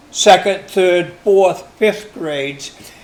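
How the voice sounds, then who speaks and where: Noticeable background noise is present in the recording. The man talks with an American accent. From Maine, USA. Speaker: long-time resident interviewed for oral history. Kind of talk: oral history interview answer.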